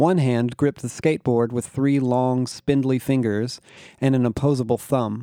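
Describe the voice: Plain reading aloud comes through here, its intonation fairly even.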